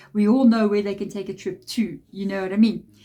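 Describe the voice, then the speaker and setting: The tone is dark and mellow. It comes across somewhat breathy. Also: woman. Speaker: tarot reader. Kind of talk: tarot reading monologue.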